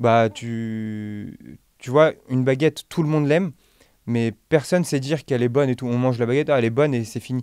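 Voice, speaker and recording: A man talks at a fairly quick pace with a medium pitch and ordinary pitch variation. The sound is dry and close, without echo. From France, Nantes (Dervallière neighbourhood). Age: 20s. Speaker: pastry chef and bakery owner. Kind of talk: podcast interview. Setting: studio. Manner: hesitant, many fillers.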